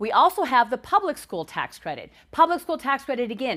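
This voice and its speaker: This woman's high voice moves in very wide pitch swings. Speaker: nonprofit executive director. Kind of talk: live webinar presentation. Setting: live webinar on camera. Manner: fast.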